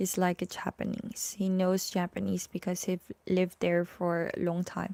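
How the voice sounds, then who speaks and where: A woman with a Filipino accent talks at a moderate pace, her medium-pitched voice dark and mellow in tone, with monotone, flat intonation. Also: dry, close sound with no echo. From Philippines. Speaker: vlogger. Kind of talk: live stream chat. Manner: halting.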